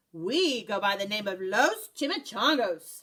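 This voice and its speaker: A woman uses a growling put-on character voice with a fairly high pitch. Her intonation is lively and her pace moderate. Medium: read story. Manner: growling, somber.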